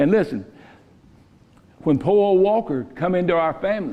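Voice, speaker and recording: A man with a Southern US accent speaks at a moderate pace. His voice sits high and swings very widely in pitch. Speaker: pastor. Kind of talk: sermon. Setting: church. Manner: loud; sounds stern, like he's mad.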